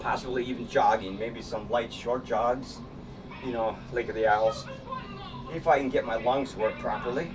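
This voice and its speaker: Noticeable background noise sits behind this recording. A man speaks at a moderate pace and a medium pitch. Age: 60s. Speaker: vlogger and artist. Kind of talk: casual monologue vlog while exercising. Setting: home studio. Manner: casual, rambling with fillers.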